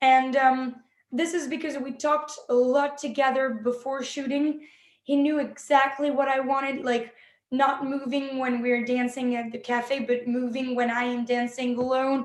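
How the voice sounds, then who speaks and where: Her pitch is high, but her intonation is flat and monotone. The woman keeps a moderate pace. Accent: French. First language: French. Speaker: film director and actress. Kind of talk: interview. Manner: halting.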